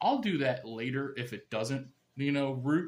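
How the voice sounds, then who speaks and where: This man has an unremarkable speaking voice, pitched fairly high and moving at a moderate pace. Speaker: gardening YouTuber. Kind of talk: tutorial. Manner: casual, conversational.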